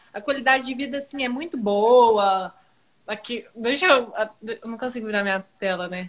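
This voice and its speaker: Woman at a moderate pace with big swings in loudness and ordinary pitch variation. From Brazil, Araxá (Minas Gerais). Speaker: social media manager. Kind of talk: casual chat.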